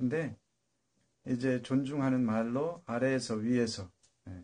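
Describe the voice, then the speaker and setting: Dark and mellow, a man's voice comes through at a medium pitch. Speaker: solo political commentary streamer. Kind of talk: casual monologue livestream. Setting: live internet stream. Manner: halting with many fillers.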